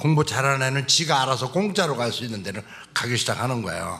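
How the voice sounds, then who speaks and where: A man with an ordinary speaking voice, pitched in the medium range. He talks at a fairly quick pace with lively intonation. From South Chungcheong, Korea (Cheongyang). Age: 60s. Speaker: church elder giving testimony. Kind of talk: testimony.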